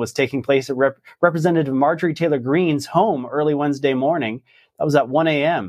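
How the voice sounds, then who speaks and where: This man has an ordinary speaking voice, fairly high in pitch, and speaks at a fairly quick pace. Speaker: news show host. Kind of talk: news commentary.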